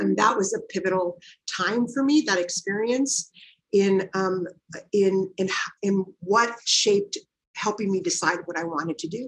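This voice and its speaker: A woman with an American accent and a medium pitch has an ordinary speaking voice with ordinary pitch variation. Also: fairly slow pace. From Watsonville, California (US). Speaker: nonprofit executive director. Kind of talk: interview conversation.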